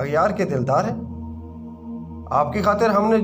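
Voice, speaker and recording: With music in the background, a man talks in a high voice. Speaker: voice-over artist. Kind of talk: poetry reading.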